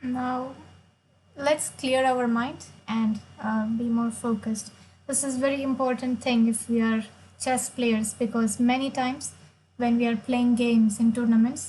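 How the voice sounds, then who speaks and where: The tone is dark and mellow, and the intonation stays flat and monotone. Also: woman, high pitch for a woman, fairly slow pace. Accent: Marathi. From India, Maharashtra. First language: Marathi. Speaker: chess player and streamer. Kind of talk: live stream chess commentary.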